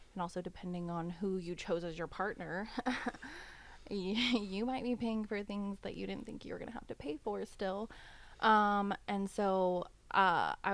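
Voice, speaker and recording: A woman has an unremarkable speaking voice at medium pitch. She talks at a moderate pace with fairly even intonation. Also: very clean recording, silent background. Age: 30s. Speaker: podcast guest, single mother. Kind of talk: casual chat.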